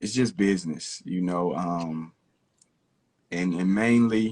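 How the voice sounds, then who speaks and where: A man with an Arkansas accent, very deep and low in pitch, at a very slow pace with ordinary pitch variation. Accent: Southern US (Arkansas). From US South, Camden, Arkansas. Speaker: rapper. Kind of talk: interview.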